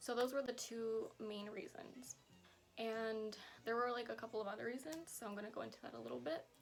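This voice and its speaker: Music plays in the background as a woman talks at a fairly quick pace. Her fairly high pitch shows ordinary variation. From US West Coast, San Francisco Bay Area. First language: Spanish. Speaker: vlogger. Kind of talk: casual Q&A vlog. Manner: casual, many fillers like 'like' and 'um'.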